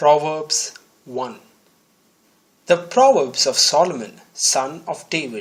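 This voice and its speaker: A man talks at a very slow pace, leaving long, frequent pauses. His pitch is fairly high, and his intonation is lively. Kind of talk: Bible reading.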